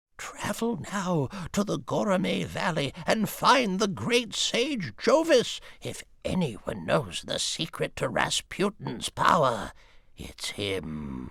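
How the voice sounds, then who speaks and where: A man uses a put-on character voice with a high pitch. He talks at a very slow pace. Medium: video game. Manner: grave, storytelling.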